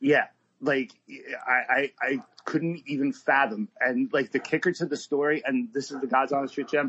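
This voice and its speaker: A man's ordinary speaking voice, pitched fairly high, moderate in pace, with ordinary pitch variation. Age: 40s. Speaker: bartender. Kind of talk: casual chat. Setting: remote recording.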